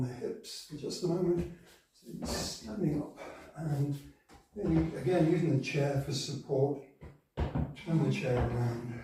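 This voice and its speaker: With audible room echo, a man speaks at a fairly slow pace in a fairly high pitch and ordinary pitch variation. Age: 70s. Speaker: yoga teacher. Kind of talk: tutorial.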